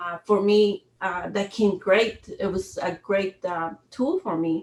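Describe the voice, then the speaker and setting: At a very slow pace, a woman speaks with fairly even intonation. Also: medium pitch for a woman. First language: Spanish. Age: 50s. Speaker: retired army sergeant major, workshop facilitator. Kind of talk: interview conversation. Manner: halting.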